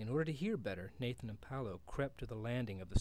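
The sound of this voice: Lively intonation from an unforced reading voice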